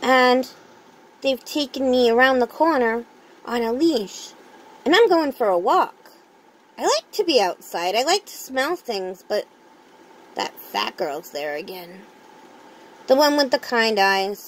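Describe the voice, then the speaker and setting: Using a put-on character voice at a high pitch, a woman speaks at a fairly slow pace with long, frequent pauses. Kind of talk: dramatic monologue. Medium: read story. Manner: soft, fearful.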